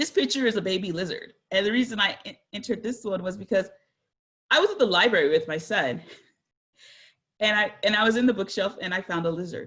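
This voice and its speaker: A woman with an American accent talks at a very fast pace, her pitch medium. She leaves long, frequent pauses, and her pitch varies an ordinary amount. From San Jose, California. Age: 40s. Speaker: guest speaker. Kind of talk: presentation. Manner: casual.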